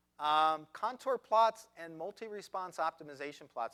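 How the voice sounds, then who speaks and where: A man's bright, sharp voice with lively intonation, in a dry, close sound with no echo. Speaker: statistician presenter. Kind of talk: lecture. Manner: fast.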